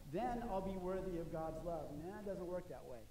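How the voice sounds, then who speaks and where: Speaking at a very fast pace, a man with a high pitch is heard through audible room echo and light background noise. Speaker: pastor. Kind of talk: sermon. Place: church. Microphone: podium.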